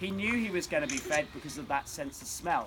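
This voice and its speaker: With a British accent and very wide pitch swings, a man speaks over noticeable background noise. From Britain, living in Australia. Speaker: wildlife park keeper giving a talk. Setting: outdoors at a wildlife park. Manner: presenter-style, addresses audience.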